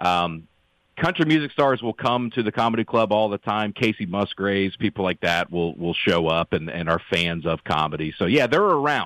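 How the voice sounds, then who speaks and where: With a Southern US accent, a man talks at a moderate pace in a fairly low voice with lively intonation. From US South (Alabama, then Tennessee). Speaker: comedian. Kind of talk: casual chat. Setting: remote call.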